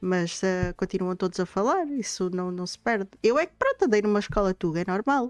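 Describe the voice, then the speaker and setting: A woman's medium-pitched voice with ordinary pitch variation, fairly quick with hardly any pauses, dry and close with no echo, over background music. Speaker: streamer and podcast host. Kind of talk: casual chat. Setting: live stream. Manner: fast.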